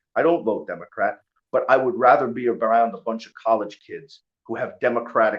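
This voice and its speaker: In a New York accent, a man talks in an animated tone at a moderate pace. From New York (Long Island). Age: 40s. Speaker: bare knuckle fighter. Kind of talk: casual chat.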